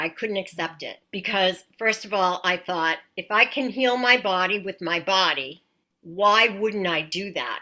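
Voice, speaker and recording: A woman at a medium pitch speaks with an American accent and a bright, sharp tone. Her pace is fairly slow and her intonation lively. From Massachusetts. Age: 60s. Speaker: patient. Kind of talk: testimony.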